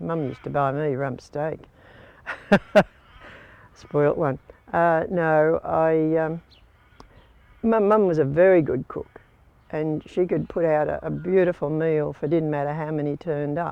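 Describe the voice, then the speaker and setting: A woman with an Australian accent speaks at a fairly slow pace in a very deep, low pitch, with long, frequent pauses. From Port Fairy, Victoria, Australia. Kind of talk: oral history interview.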